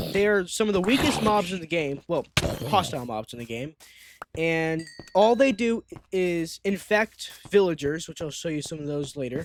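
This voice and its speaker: A man's high-pitched voice at a moderate pace. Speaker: gaming YouTuber. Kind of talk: gameplay tutorial. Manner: halting, with false starts.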